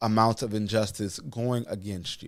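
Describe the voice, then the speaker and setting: The recording of this man's voice is very clean, with total silence behind him. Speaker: YouTube commentary host. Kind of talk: casual reaction commentary. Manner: halting.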